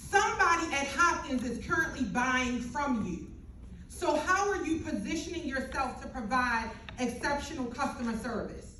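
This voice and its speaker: With audible room echo, a woman speaks in a raised, projected voice at a high pitch, her intonation lively, her tone animated and her pace moderate. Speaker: business owner speaking on a panel. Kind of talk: panel discussion talk. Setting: panel event with mic and audience. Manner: loud.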